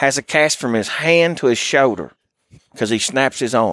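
Here a man talks at a moderate pace in a fairly high pitch with ordinary pitch variation. The sound is dry and close with no echo, on a very clean recording with a silent background. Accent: Appalachian. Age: 40s. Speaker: hunting guide. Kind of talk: casual chat. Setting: outdoors.

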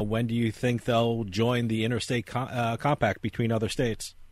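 A man with an American accent talks at a fairly quick pace in an unremarkable speaking voice, his pitch medium. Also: hardly any pauses. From New Jersey. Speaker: radio host. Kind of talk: casual interview chat; infomercial ad read. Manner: fast, punchy, salesy.

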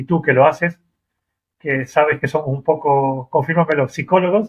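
Speaking in a plain, everyday voice, a man keeps a moderate pace, a fairly high pitch and fairly even intonation. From Argentina, Mendoza. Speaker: rideshare driver. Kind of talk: interview.

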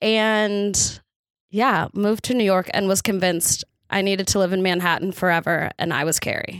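Speaking with a normal speaking voice in an American accent, a woman keeps a medium pitch, fairly even intonation and a moderate pace. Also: very clean recording, silent background. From Texas. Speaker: celebrity fashion stylist. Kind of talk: casual chat.

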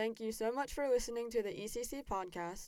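An ordinary speaking voice moves at a fairly quick pace with an American accent and ordinary pitch variation. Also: woman. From US South, South Carolina. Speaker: podcast host, student. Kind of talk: casual interview.

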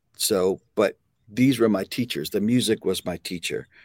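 An unremarkable speaking voice with an American accent at a fairly slow pace and ordinary pitch variation, in a dry, close sound with no echo on a very clean recording with a silent background. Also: man. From US, New Jersey. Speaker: drummer and music educator. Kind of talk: casual interview.

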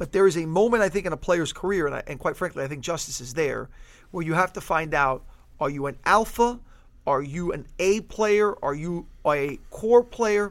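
This man's voice sits high, with lively intonation at a moderate pace. The recording is very clean, with no background sound at all. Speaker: sports podcast host. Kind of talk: casual sports talk podcast.

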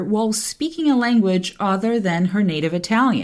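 A woman's fairly high voice with a Portuguese accent, at a moderate pace. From Brazil. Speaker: translator and podcast host. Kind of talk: podcast monologue and interview.

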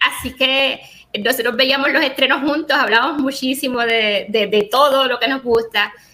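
Amid noticeable background noise, a woman uses a raised, projected voice at a high pitch and moderate pace, her intonation fairly even. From Puerto Rico. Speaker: podcast host. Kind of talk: casual chat.

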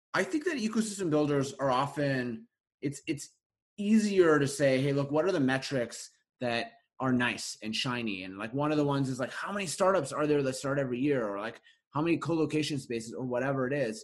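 Fairly high in pitch, a man with a Canadian accent and an unremarkable speaking voice talks at a fairly quick pace with lively intonation. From Canada, Winnipeg, Manitoba. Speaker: venture investor and author. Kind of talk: casual interview conversation.

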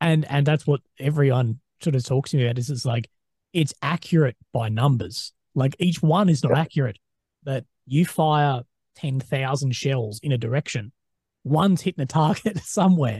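A man talks in a fairly high, somewhat breathy voice with ordinary pitch variation. The sound is dry and close with no echo, over a quiet background. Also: moderate pace. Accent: Australian. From Australia. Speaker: podcast host. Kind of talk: interview. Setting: video call.

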